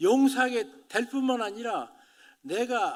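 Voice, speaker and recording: A man speaks at an extremely high pitch on a very clean recording with a silent background. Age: 80s+. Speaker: pastor. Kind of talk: sermon.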